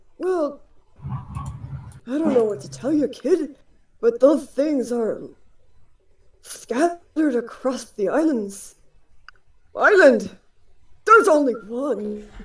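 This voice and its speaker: A put-on character voice, high-pitched and very slow, with long, frequent pauses. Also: female-sounding voice. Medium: actual play. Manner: muttering, fussy, erratic.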